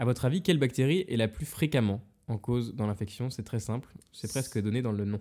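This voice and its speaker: Dark and mellow in tone, a man speaks at a medium pitch with ordinary pitch variation. His pace is fairly quick. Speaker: podcast host, medical student. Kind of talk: casual chat.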